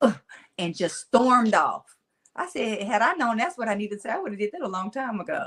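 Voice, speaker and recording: A woman with a Mississippi accent talks at a fairly quick clip in a fairly high, animated voice that swings very widely in pitch. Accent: Mississippi Southern twang. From Tennessee, raised by Mississippi-speaking caregiver. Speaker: motivational speaker. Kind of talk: interview conversation. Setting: podcast.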